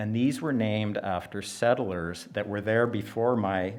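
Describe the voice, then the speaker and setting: Listen for a man with a Western Canadian accent. His voice is fairly low in pitch. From Canada, British Columbia interior (Nicola Valley ranch). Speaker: event speaker, rancher's son. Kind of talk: public speech at exhibition opening. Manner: halting, many fillers.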